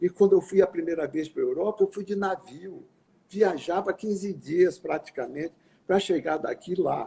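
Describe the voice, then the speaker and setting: Pitched high for a man, his dark, mellow tone moves at a moderate pace with fairly even intonation. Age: 80s+. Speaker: physician and scientist. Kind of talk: interview. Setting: live video call.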